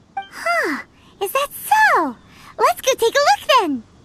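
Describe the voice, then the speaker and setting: A squeaky, put-on character voice with an extremely high pitch moves at a fairly slow pace. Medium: video game. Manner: chatty, excitable.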